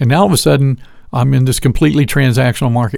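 With an American accent, a man talks at a medium pitch. Vocal fry colors his voice. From US South, Georgia. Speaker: lighting sales representative. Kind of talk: interview.

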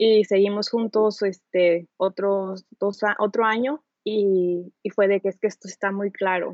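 A woman speaks at a fairly slow pace, her medium-pitched voice keeping a fairly even intonation. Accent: Mexican. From Mexico. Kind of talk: casual chat.

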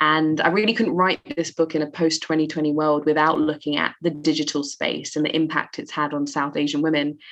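In a London accent, a woman with a very deep, low pitch speaks at a moderate pace. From East London, England. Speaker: author and poet. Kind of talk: interview.

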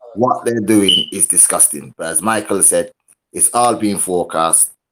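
A man speaks in an ordinary speaking voice at a moderate pace. His pitch sits fairly low. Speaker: podcast panelist. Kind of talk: casual group discussion.

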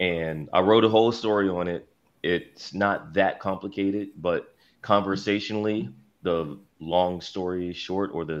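Someone with an American accent speaks at a fairly slow pace with fairly even intonation against a quiet background. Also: man. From Philadelphia. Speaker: sports journalist. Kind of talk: casual chat. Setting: video call.

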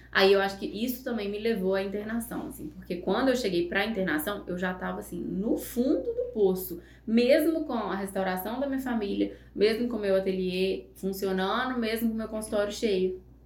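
Audible room echo and noticeable background noise surround a woman whose pitch varies in an ordinary way. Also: medium pitch for a woman, moderate pace, hardly any pauses. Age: 30s. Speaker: psychologist and makeup artist. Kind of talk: casual interview chat.

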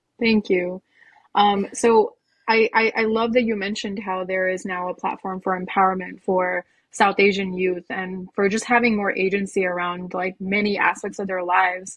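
A woman with an American accent speaks at a moderate pace in a monotone, flat intonation. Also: medium pitch for a woman. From United States. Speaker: podcast co-host. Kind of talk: casual interview. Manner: halting, repetitive.

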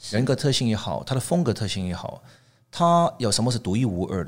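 Lively intonation marks this man's medium-pitched voice at a fairly quick pace. The recording is very clean, with a silent background. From Hong Kong and Canada. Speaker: tableware designer. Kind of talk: interview. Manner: halting.

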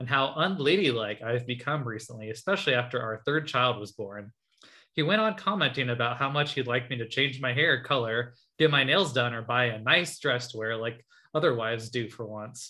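A man speaks with an American accent at a medium pitch and a fairly quick pace. His is a plain, everyday voice. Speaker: podcast co-host. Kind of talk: casual chat.

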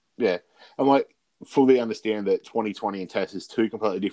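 A man talks at a fairly quick pace and fairly low pitch, the sound dry and close with no echo. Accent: Australian. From Australia. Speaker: sports podcast host. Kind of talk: casual chat.

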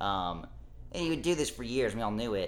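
Against audible room echo, a man with an American accent speaks with lively intonation. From Texas, Dallas suburbs. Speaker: podcast guest, former oil industry worker. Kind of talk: casual chat.

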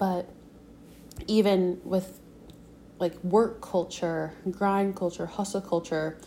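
A woman speaks with an American accent in a fairly low pitch. Her tone is dark and mellow, her intonation fairly even. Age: 20s. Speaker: podcaster. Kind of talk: solo monologue. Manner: casual, filler-heavy.

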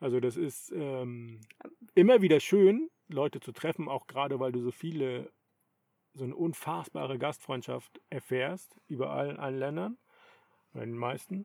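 At a moderate pace, a man with a plain, everyday voice and medium pitch uses lively intonation and big swings in loudness. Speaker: podcast host, long-distance cyclist. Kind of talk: casual chat. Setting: in a tent.

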